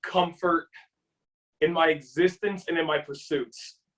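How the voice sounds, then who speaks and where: A loud, animated man, high-pitched, at a fairly slow pace. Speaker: kickboxer. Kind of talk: interview.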